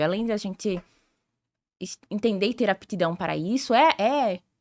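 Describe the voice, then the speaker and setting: In a normal speaking voice, someone talks at a moderate pace with ordinary pitch variation, on a very clean recording with a silent background. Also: woman. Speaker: sales director and consultant. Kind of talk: podcast interview.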